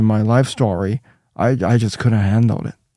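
The man's voice is fairly low-pitched, with a dark, mellow tone. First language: Chinese. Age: 50s. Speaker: Bible translator and church minister. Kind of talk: casual interview. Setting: studio. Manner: halting, searching for words.

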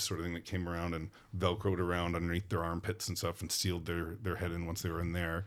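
A man with a very deep, low pitch speaks in a monotone, flat way at a fairly quick pace. The recording is very clean, with a silent background. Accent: Western Canadian. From Vancouver, Canada. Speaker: film property master. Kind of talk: casual interview. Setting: studio.

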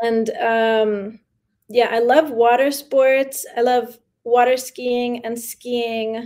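Speaking very slowly in a New York accent, a woman holds a high pitch in a monotone, flat intonation while her loudness swings widely. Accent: New York American English. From New York City, with early childhood in Mexico. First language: Spanish. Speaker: artist and curator. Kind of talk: interview. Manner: laughs often.

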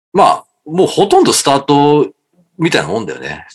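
A man is speaking. His pace is moderate. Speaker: basketball fan guest. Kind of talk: casual chat.

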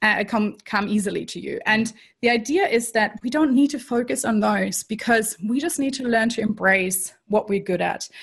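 With a slight German accent, a woman speaks at a moderate pace in a somewhat breathy, fairly high-pitched voice with ordinary pitch variation. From Germany. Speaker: strengths coach. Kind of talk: interview.

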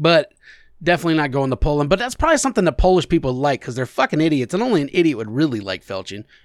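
Talking at a very fast pace, a man with a fairly high pitch makes very wide pitch swings, the sound dry and close with no echo on a very clean recording with a silent background. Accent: American. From US Midwest, Alexandria. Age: 40s. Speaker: podcast co-host. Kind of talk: casual chat.

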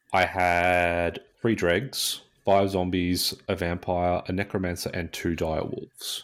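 With an Australian accent, a man speaks at a very slow pace, his very deep, low voice flat and monotone. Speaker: podcast co-host. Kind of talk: casual chat.

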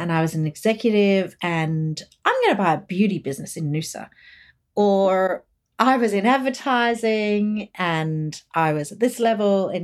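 Lively in intonation, a woman speaks with an Australian accent on a very clean recording with a silent background. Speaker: expat community group founder. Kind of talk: interview. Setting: podcast recording.

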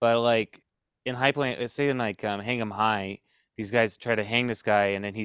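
A man with a fairly low pitch speaks at a moderate pace in an unremarkable speaking voice, with fairly even intonation on a very clean recording with a silent background. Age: 30s. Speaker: podcast host. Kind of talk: casual chat.

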